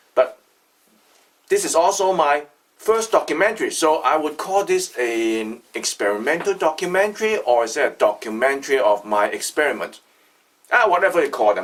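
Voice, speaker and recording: A man speaks loudly at a moderate pace. His high pitch makes very wide swings. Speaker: artisan maker, video creator. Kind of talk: casual video introduction. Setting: factory workshop.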